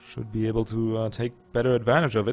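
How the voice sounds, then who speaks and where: With a slight German accent, a man speaks at a very fast pace. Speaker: gaming YouTuber. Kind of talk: let's play commentary. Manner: casual, thinking aloud.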